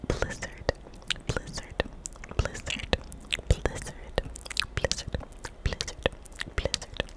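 A woman's whisper at a very slow pace. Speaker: ASMR creator. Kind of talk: soft ASMR word repetition and chat. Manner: close-mic ASMR whisper of trigger word. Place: home room. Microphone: studio mic.

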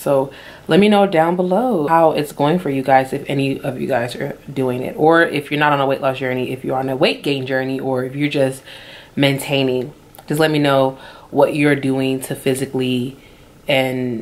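A woman with a very deep, low pitch speaks at a moderate pace with fairly even intonation. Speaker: lifestyle vlogger. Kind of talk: casual vlog chat. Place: home room. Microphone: phone near.

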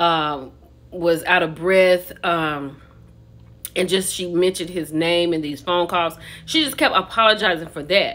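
At a fairly slow pace, a woman speaks in a fairly low voice with fairly even intonation. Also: fairly bright tone.

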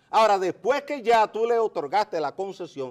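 The man's speech moves at a moderate pace. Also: quiet background. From Dominican Republic. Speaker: geologist and mining engineer; interview guest. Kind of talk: interview. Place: studio. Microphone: lapel.

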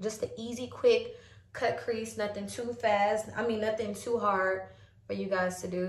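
A somewhat breathy woman's voice with fairly even intonation, light background noise and audible room echo. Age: 20s. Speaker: beauty vlogger. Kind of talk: makeup tutorial. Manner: casual, filler-heavy. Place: home room. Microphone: phone near.

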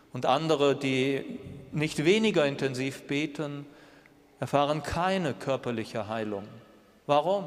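A man speaks at a fairly slow pace with ordinary pitch variation, leaving long, frequent pauses. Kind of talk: homily in church, a reflective, earnest sermon with rhetorical questions. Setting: church. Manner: measured, earnest, thoughtful pace; direct address, rhetorical questions to the congregation. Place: church.

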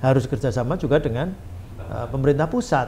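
Lively intonation marks this voice. It carries a somewhat breathy quality. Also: man. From Tegal, Central Java, Indonesia; Central Java, Indonesia. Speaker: member of parliament; podcast guest. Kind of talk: podcast interview. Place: studio.

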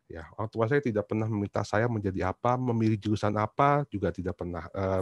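A man talks at a very fast pace with ordinary pitch variation against a quiet background, in a dry sound with no echo. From Indonesia, Surabaya (East Java); East Java, Indonesia. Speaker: university lecturer; presenter. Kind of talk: book reflection talk; talk presentation, reflective storytelling. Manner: halting, many fillers. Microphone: video call.

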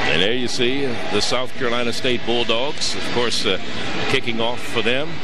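The speech has long, frequent pauses over loud background noise. The sound is dry, with no echo. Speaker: play-by-play sports commentator. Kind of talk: live commentary.

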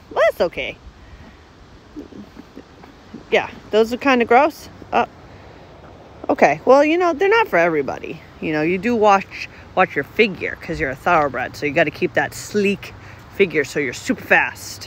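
At a moderate pace with long, frequent pauses, the voice has a dry sound without echo over light background noise. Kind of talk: casual talk to animals. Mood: playful, affectionate. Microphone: phone near.

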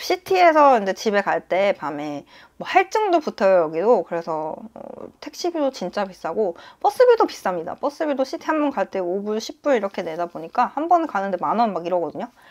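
Against a quiet background, a woman talks at a fairly quick pace. Her pitch swings very widely. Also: medium pitch for a woman. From South Korea. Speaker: nurse and vlogger; vlogger. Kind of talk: casual vlog monologue. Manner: hesitant with frequent fillers. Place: home room. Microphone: lapel.

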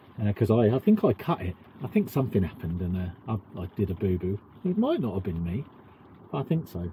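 A man speaks at a very fast pace. The sound is dry with no echo, over light background noise. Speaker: vlogger. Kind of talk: casual vlog chat. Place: boat. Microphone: camera far.

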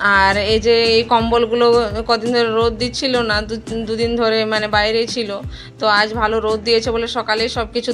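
Over faint music in the background, a woman speaks in a monotone with flat intonation. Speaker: home vlogger. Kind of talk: casual vlog chat. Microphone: phone near.

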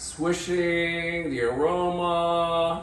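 A high-pitched man, with audible room echo and light background noise. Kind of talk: comic skit banter. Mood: playful, mock-serious. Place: kitchen.

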